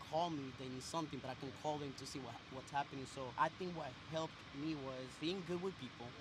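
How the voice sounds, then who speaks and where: Over noticeable background noise, a man with a Spanish accent talks fairly quickly at a fairly high pitch with fairly even intonation. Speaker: business owner. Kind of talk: street interview.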